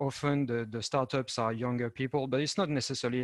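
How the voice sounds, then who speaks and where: With a French accent, a medium-pitched man speaks in fairly even intonation, the sound dry and close with no echo. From France. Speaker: European project manager and entrepreneur. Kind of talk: panel presentation. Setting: video call. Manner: halting, many fillers.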